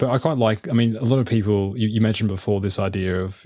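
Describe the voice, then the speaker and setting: A man with a fairly low pitch speaks with fairly even intonation. The sound is dry and close, with no echo. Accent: Australian. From Australia. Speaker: researcher and podcaster. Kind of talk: casual interview conversation. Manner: repeats words, stammering starts.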